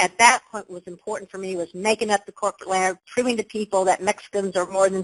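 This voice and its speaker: A woman speaks in an animated tone. The sound is dry and close with no echo. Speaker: leadership coach. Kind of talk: webinar presentation. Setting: online webinar.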